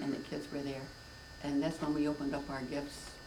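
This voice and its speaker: A woman talks at a fairly quick pace with a very deep, low pitch. There is noticeable background noise. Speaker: grandmother. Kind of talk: interview answer.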